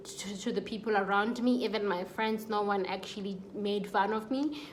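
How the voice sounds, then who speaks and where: A woman's fairly high voice with fairly even intonation over noticeable background noise. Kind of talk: casual talk to camera. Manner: stutters.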